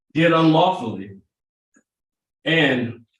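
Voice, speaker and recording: Audible room echo follows a man who speaks with ordinary pitch variation. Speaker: prosecutor. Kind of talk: jury selection questioning. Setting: courtroom. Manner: conversational.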